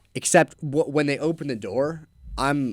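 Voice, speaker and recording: This is a man speaking. His voice carries vocal fry. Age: young. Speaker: young entrepreneur, window cleaning business owner. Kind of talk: casual chat. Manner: casual, filler-heavy.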